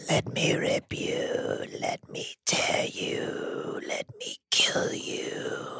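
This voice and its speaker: In a put-on character voice, the speaker is raspy and extremely high-pitched, moving at a very slow pace with hardly any pauses. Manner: menacing.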